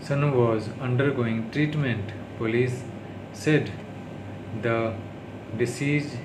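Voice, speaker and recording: A man speaks very slowly with fairly even intonation and long, frequent pauses. Background noise is noticeable. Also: medium pitch for a man. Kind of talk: reading news aloud as speech practice. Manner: heavy stuttering.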